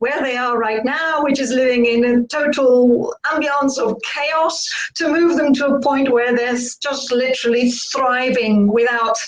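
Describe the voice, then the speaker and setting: A woman speaks in a high pitch with a slight British accent and fairly even intonation. Audible room echo and noticeable background noise surround the recording. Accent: slight UK. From Spain. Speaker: burnout coach. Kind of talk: interview.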